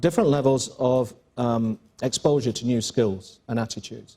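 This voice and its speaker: Delivered in an English accent, the voice has a dark, mellow tone and fairly even intonation. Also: man. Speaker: school principal. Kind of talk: panel interview. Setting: stage with audience. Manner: halting.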